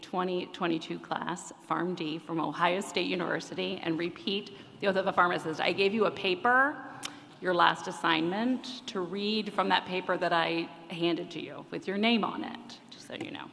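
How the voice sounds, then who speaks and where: A woman uses an ordinary speaking voice at a medium pitch and moderate pace, with ordinary pitch variation and big swings in loudness. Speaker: pharmacy professor. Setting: graduation ceremony with audience.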